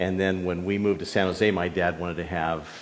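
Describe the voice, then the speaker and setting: Audible room echo surrounds a man with an American accent and a very deep, low voice speaking at a moderate pace. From Northern California. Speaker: pastor. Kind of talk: sermon.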